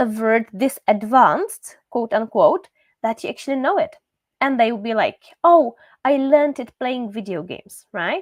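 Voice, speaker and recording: Recorded very cleanly against a silent background, a woman with a Czech accent speaks at a moderate pace in a high pitch with lively intonation. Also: dry, close sound with no echo. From Czechia. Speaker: language teacher. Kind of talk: live stream talk. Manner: casual, with many fillers.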